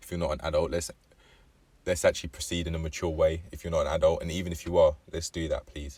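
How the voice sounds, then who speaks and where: Someone with an English accent talks at a very fast pace. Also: man. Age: 20s. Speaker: vlogger. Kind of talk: casual vlog monologue. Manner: halting, with frequent fillers and self-corrections.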